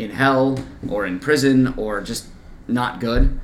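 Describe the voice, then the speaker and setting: A man with an American accent talks at a medium pitch. Some room echo can be heard. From US Midwest (Kansas-born, grew up near Iowa). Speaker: podcast co-host. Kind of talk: casual chat.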